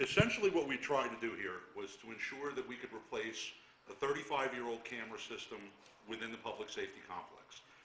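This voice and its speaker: A man talks very fast with big swings in loudness, and audible room echo surrounds his voice. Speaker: borough official at council meeting. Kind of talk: public meeting presentation. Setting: council meeting room.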